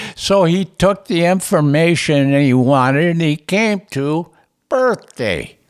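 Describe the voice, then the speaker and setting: Very slowly and with lively intonation, a man speaks high with an American accent. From US Upper Midwest, Minnesota. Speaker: retired casino dealer telling life story. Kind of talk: oral history interview. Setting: at his home. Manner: halting, many restarts.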